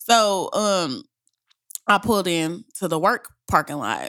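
Her tone is bright and sharp. The woman speaks at a medium pitch with ordinary pitch variation. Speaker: podcast co-host. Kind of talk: casual chat.

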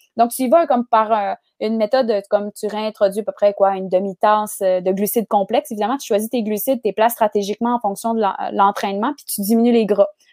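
A woman speaks very fast, her fairly high voice carrying a dark, mellow tone and fairly even intonation. Her loudness swings widely, and the sound is dry and close with no echo. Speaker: nutritionist. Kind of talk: casual interview chat.

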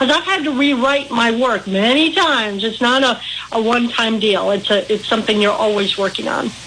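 A woman's fairly quick, lively speech in an American accent, fairly high in pitch, with very even loudness and hardly any pauses, over noticeable background noise. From Midwest US, Milwaukee. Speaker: author. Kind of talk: radio interview.

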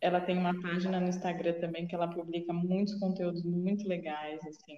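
At a moderate pace, a woman speaks in a fairly low, dark, mellow voice. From Jundiaí, São Paulo state, Brazil. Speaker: sports psychologist. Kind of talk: casual chat. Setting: video call.

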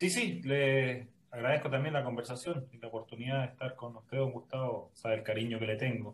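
A man speaks in a plain, everyday voice at medium pitch, his intonation fairly even. The pace is fairly quick, with hardly any pauses. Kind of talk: interview conversation.

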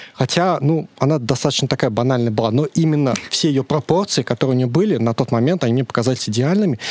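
A man talks very fast at a medium pitch with ordinary pitch variation, in a dry, close sound with no echo. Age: 30s. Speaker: podcast guest. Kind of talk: casual chat. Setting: studio.

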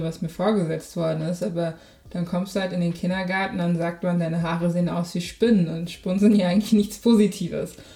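Speaking at a fairly quick pace, a woman has a fairly low pitch, a dark, mellow tone, fairly even intonation and a somewhat breathy quality. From Germany. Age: 20s. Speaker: podcaster. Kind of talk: casual chat.

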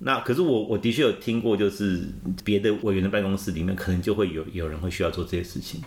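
A very fast man's voice, fairly low in pitch, with ordinary pitch variation. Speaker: former political party spokesperson. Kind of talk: interview. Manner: halting.

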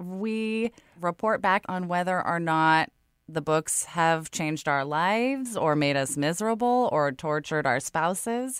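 In a very clean recording with a silent background, a woman with an American accent speaks at a fairly low pitch with lively intonation. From California. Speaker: podcast host. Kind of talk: casual chat. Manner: animated.

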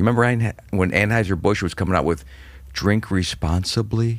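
A man with an American accent speaks at a moderate pace in a fairly low pitch. He has an ordinary speaking voice. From Cleveland, Ohio. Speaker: stand-up comedian. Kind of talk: casual chat.

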